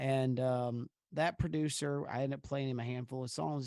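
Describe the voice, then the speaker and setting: Here a man with a dark, mellow tone and medium pitch talks at a fairly quick pace. The sound is dry and close with no echo, on a very clean recording with a silent background. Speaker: country music singer. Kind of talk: casual interview chat.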